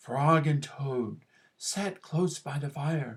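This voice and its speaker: The voice moves at a very slow pace in a low-to-middle pitch. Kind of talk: classroom read-aloud. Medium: read story. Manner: gentle, warm.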